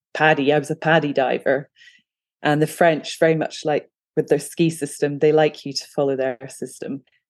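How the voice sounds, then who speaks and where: A woman with a Scottish accent speaks at a moderate pace in a very deep, low voice. Her intonation is monotone and flat. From Scotland. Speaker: photographer and freediver. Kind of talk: casual interview.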